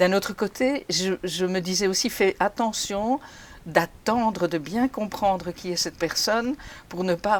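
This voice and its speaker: At a fairly slow pace, a woman talks in a plain, everyday voice with medium pitch and ordinary pitch variation. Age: 60s. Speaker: retired HR mentor. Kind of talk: interview testimony.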